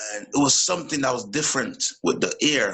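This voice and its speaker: In a Jamaican accent, a man speaks at a moderate pace with lively intonation. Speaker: boxer and teacher. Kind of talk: casual interview chat.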